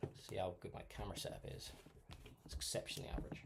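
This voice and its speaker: A quiet man talks at a very fast pace. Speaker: miniature painting streamer. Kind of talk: live painting tutorial stream. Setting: live stream. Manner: casual, hesitant with fillers.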